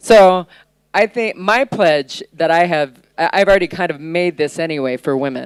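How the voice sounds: The sound is dry and close, with no echo. The tone comes through clear and smooth. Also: woman, fairly low pitch for a woman, ordinary pitch variation, moderate pace.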